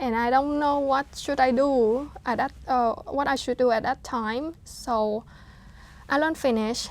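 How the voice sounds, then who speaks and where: The recording is very clean, with a silent background. A woman with a Vietnamese accent speaks at a fairly slow pace in a high pitch, her intonation fairly even. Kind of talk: interview answer.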